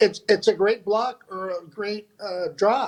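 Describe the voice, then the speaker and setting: A high-pitched man with an American accent. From Indio, California. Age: 60s. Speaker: retired pickleball instructor. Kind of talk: casual interview. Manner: halting, repeats words.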